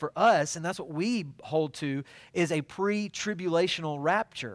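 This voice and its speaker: The recording is very clean with a silent background and a dry, close sound with no echo. A man speaks at a moderate pace in a high pitch with ordinary pitch variation. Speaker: church minister teaching a fellowship group. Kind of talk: bible study teaching. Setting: church group meeting.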